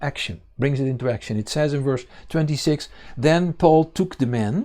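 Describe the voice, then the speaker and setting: A man with a Dutch accent speaks in a fairly high pitch with a dark, mellow tone and ordinary pitch variation. The recording is very clean, with a silent background. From Netherlands. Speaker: congregation leader and Bible teacher. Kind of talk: sermon. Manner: halting, many fillers.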